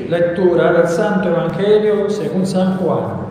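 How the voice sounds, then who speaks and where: Very slowly, a man speaks in a high pitch with monotone, flat intonation. Strong room echo and noticeable background noise fill the recording. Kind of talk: Gospel reading at Mass. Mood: solemn, measured. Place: church.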